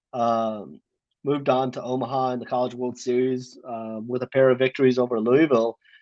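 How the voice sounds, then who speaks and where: A man speaks in a monotone with flat intonation at a medium pitch. His pace is moderate, and the background is quiet. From South Africa. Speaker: college football beat reporter. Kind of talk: radio call-in interview. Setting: phone call. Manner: hesitant, many filler ums.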